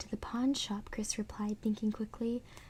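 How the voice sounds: The clip features a natural reading voice.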